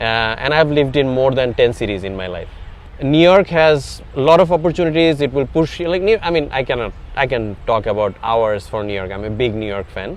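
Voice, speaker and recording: Over noticeable background noise, a man with a Bengali accent speaks at a fairly quick pace, medium in pitch, with lively intonation. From Bangladesh. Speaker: tech startup founder. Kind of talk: interview. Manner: hesitant, many fillers.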